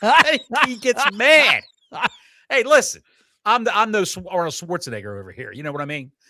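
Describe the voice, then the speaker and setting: A man with a high pitch and a bright, sharp tone talks in a raised, projected voice at a fairly quick pace, with an animated tone, very wide pitch swings, big swings in loudness, and long, frequent pauses, on a very clean recording with a silent background. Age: 60s. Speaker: wrestling podcast co-host. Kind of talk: casual chat.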